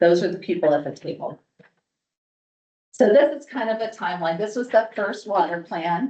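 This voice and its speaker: An ordinary speaking voice talks at a moderate pace. Its pitch varies in an ordinary way. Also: woman. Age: 60s. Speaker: water policy speaker. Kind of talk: presentation to an audience.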